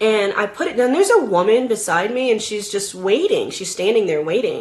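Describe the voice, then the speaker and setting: Her tone is animated, with ordinary pitch variation. The woman talks at a fairly quick pace. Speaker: vlogger. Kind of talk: casual chat.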